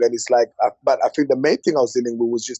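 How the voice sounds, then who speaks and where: A man with a London accent. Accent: London English with Congolese roots. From West London, England (born DR Congo, moved at eight). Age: 30s. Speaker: comedian. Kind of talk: casual interview chat. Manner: animated, with frequent fillers and repetitions.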